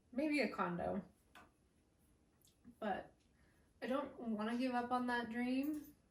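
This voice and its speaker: Somewhat breathy, a woman with an American accent speaks with fairly even intonation. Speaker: vlogger. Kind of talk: casual vlog talk to camera.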